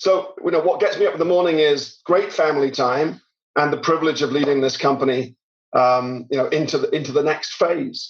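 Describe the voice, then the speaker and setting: With a British accent, a man talks at a fairly quick pace in a fairly high pitch, his loudness very even and his pitch variation ordinary. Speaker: tech company CEO. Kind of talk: podcast interview.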